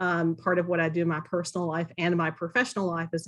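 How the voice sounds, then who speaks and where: With a Southern US accent, a woman speaks at a fairly low pitch and a fairly quick pace. The background is quiet. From US South, Kentucky. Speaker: board applicant, university professor. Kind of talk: public meeting interview. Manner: halting, many fillers.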